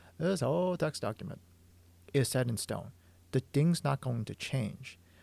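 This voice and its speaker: Vocal fry runs through a dark, mellow tone with lively intonation at a moderate pace. The sound is dry and close with no echo, in a very clean recording with a silent background. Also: man, medium pitch for a man. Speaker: comic artist streamer. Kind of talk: casual livestream explanation. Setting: livestream.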